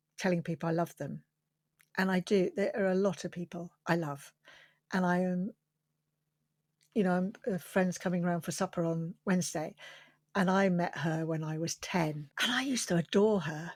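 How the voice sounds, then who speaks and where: A woman speaks at a moderate pace with a southern English accent and long, frequent pauses. The sound is dry and close with no echo, on a very clean recording with a silent background. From London. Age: 60s. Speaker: quilter. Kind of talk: interview.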